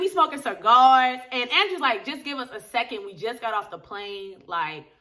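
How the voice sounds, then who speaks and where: A woman's raised, projected voice, bright and sharp, animated, with very wide pitch swings at a fairly quick pace. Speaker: TV episode reviewer. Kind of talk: casual vlog review. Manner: fast.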